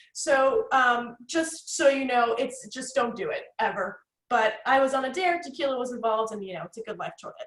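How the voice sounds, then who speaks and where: This woman has a New Jersey accent, a high pitch and an animated tone. She talks at a fairly quick pace, with big swings in loudness. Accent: New Jersey American. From North Jersey, US. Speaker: networking consultant, guest speaker. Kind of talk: workshop presentation. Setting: video call. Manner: fast.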